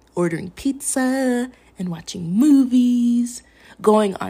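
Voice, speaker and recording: A somewhat breathy woman with an American accent and a dark, mellow tone. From Minnesota. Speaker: podcast host. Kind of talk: personal monologue.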